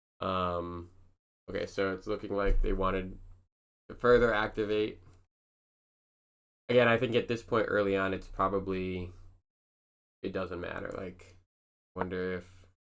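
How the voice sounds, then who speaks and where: A quiet man speaks at a fairly low pitch in a monotone, flat intonation, with long, frequent pauses. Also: moderate pace. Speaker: amateur chess player reviewing own games. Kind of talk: casual game analysis commentary. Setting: at home at night, partner asleep. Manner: quiet, hushed; hesitant, many fillers.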